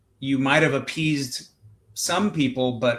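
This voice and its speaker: Speaking with a West Coast US accent, a man keeps a medium pitch and fairly even intonation. His pace is moderate. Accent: General American, West Coast. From Southern California. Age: 40s. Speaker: state senator. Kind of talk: podcast interview. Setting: live-streamed video call.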